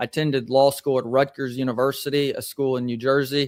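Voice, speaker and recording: The speech moves at a fairly quick pace. The recording is very clean with a silent background and has a dry, close sound with no echo. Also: man. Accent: Southern US. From Tennessee, US South (Columbia, near Nashville). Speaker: attorney. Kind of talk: interview.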